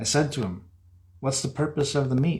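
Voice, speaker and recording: The man's voice is somewhat breathy. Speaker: horror author. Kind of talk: horror story reading.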